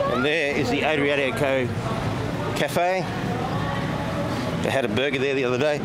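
Music sits in the background while a man talks at a fairly slow pace. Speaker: walking vlogger. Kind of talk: casual vlog commentary. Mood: cheerful, chatty. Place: street. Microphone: phone near.

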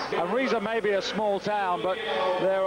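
Through noticeable background noise, a man with a high pitch talks at a moderate pace with fairly even intonation. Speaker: sports commentator. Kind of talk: live sports commentary, play-by-play. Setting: broadcast commentary. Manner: brisk, informative, steady; measured, stats-heavy.

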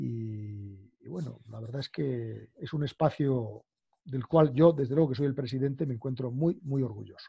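In a quiet background, a man speaks at a fairly slow pace with a dark, mellow, somewhat breathy tone and big swings in loudness. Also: medium pitch for a man, ordinary pitch variation, dry sound with no echo. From Galicia, Spain. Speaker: law professor. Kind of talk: interview conversation. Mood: earnest, concerned. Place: home room. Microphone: video call.

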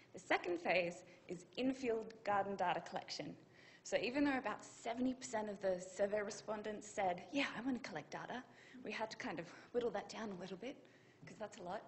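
Somewhat breathy, a woman talks at a fairly quick pace with big swings in loudness over light background noise. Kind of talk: conference talk. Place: hall.

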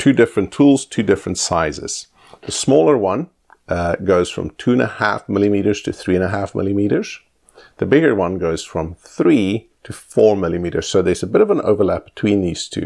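Ordinary pitch variation at a fairly quick pace over a quiet background. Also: man, fairly low pitch for a man. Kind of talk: tutorial. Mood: relaxed, lightly humorous. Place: home room.

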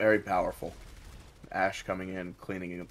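The recording is very clean with a silent background as a man talks. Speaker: esports caster. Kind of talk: live commentary.

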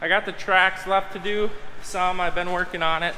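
A man speaks at a moderate pace in a high voice. Light background noise is present. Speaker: farmer and video host. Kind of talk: casual vlog narration. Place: garage. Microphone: phone near.

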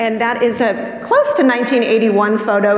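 A woman with a fairly high pitch is heard, audible room echo trailing her voice. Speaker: librarian and panel moderator. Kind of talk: moderated panel discussion. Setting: stage with live audience in library. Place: stage.

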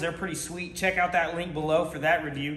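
A man in a room with audible echo and light background noise. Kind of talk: casual vlog chat. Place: garage. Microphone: camera far.

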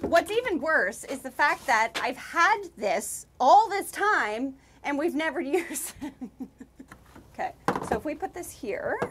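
Against noticeable background noise, a woman speaks at a fairly slow pace with very wide pitch swings. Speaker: vlogger. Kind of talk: casual vlog chat. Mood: playful, self-mocking.

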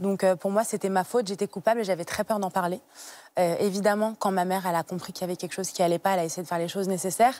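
The sound is dry with no echo, and the intonation stays fairly even. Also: woman. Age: 20s. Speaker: guest sharing personal story of childhood obesity; TV guest. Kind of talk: testimony. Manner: halting with frequent hesitations. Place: studio. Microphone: lapel.

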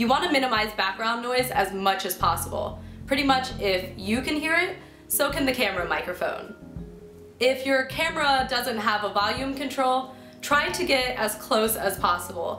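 A woman's high voice moves at a moderate pace through audible room echo, with faint music in the background. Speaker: video host. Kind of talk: tutorial. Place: home room.

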